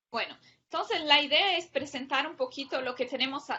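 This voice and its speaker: A woman with a high pitch talks at a moderate pace, showing ordinary pitch variation. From Brazil. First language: Portuguese (speaking Spanish). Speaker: public policy researcher. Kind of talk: academic lecture.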